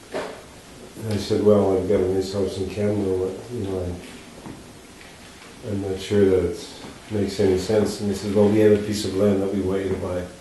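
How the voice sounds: Amid strong room echo, a speaker with a dark, mellow tone talks at a moderate pace with little pitch movement and long, frequent pauses. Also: man, low pitch for a man.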